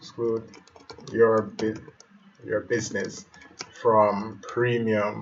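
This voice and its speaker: With long, frequent pauses, someone with a Jamaican accent speaks at a very slow pace over noticeable background noise. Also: man. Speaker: web developer. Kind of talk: tutorial. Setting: live stream. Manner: halting.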